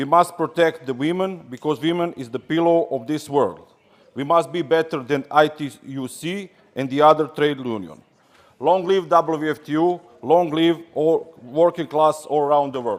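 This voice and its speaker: With a Serbian accent, a man talks at a moderate pace in a fairly high pitch, his pitch varying in an ordinary way. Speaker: trade union delegate. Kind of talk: congress speech.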